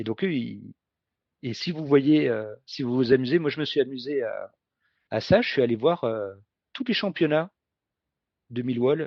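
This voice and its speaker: A man at a fairly high pitch, moderate pace and ordinary pitch variation. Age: 50s. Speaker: football ultra supporter. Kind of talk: podcast interview. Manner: halting, many hesitations.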